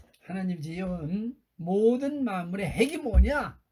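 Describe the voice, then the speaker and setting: With a high pitch, a man speaks using lively intonation. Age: 80s+. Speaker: retired pastor. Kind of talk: sermon. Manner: halting, many fillers.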